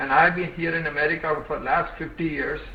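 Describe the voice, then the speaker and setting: Against noticeable background noise and audible room echo, a man with a fairly high voice talks at a moderate pace. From India, Hyderabad. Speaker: social development expert, retired IT analyst. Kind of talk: webinar talk. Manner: halting.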